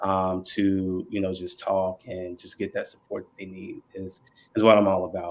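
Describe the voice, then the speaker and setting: A Southern US accent at a moderate pace, with monotone, flat intonation and big swings in loudness. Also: man, very deep, low pitch for a man. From North Carolina (Burlington). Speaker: mental health counselor. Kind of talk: podcast panel introduction. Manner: halting, many fillers.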